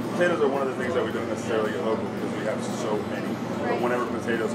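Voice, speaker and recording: A man is speaking. Music plays in the background. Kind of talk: interview answer. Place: kitchen.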